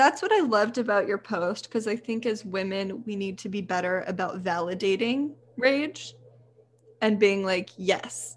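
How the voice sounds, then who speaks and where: In a plain, everyday voice with an American accent, a woman speaks at a moderate pace and medium pitch with ordinary pitch variation. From Texas. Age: 20s. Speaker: photographer and women's health advocate. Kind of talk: casual chat.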